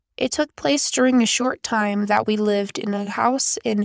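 On a very clean recording with a silent background, a woman with a plain, everyday voice speaks at a fairly high pitch with fairly even intonation. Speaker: podcast host. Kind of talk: ghost story reading aloud, spooky bedtime-style storytelling of Reddit tales. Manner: casual and friendly in intro and outro.

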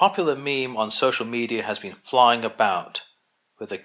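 A quiet background beneath a natural reading voice

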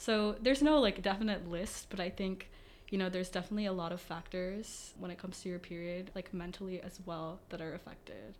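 With a plain, everyday voice, a woman talks at a fairly quick pace at medium pitch with ordinary pitch variation. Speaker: student club officer. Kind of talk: interview conversation.

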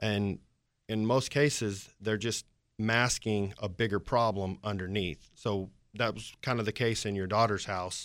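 Speaking fairly slowly with fairly even intonation, a man has a fairly low pitch and an unremarkable speaking voice. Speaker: flooring contractor. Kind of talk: call-in radio show. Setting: radio studio.

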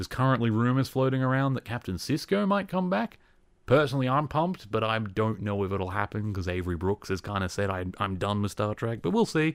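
Using a plain, everyday voice, a man speaks fairly quickly at a medium pitch with lively intonation. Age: 20s. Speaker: podcast host. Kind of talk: solo commentary. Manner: casual.

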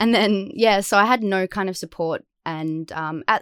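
Heard dry and close with no echo, a woman speaks with an Australian accent. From Western Australia, Perth. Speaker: actor. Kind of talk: casual chat. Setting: remote call.

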